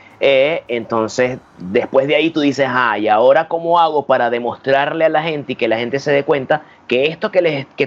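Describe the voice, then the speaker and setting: Here a man talks at a moderate pace. His voice is fairly high, with ordinary pitch variation. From Venezuela. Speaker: magician and stand-up comedian. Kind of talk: casual chat.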